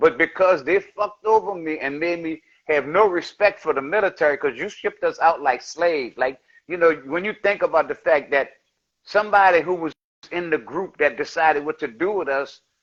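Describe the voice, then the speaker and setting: Here a man speaks with a high pitch and ordinary pitch variation. His pace is fairly quick. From New Orleans, Louisiana. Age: 70s. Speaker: rapper and war veteran. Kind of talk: podcast interview. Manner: animated.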